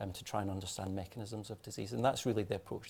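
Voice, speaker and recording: A man's fairly low, somewhat breathy voice at a very fast pace. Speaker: clinical geneticist. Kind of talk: panel discussion. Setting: webinar. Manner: hesitant, many fillers and repeats.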